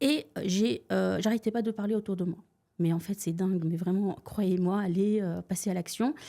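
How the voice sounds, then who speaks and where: On a very clean recording with a silent background, a woman speaks at a moderate pace with a dark, mellow tone, medium pitch, ordinary pitch variation and very even loudness. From Tunisia. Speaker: real estate investor. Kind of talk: podcast interview. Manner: hesitant, many filler sounds.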